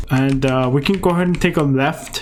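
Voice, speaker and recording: Music plays in the background while a man speaks with a non-native accent. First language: not English. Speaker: gaming youtuber. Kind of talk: tutorial gameplay commentary. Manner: casual, many filler words.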